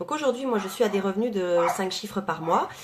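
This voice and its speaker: The intonation is lively. Noticeable background noise is present. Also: woman. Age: 30s. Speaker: network marketing coach. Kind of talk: live video talk to followers. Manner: fast.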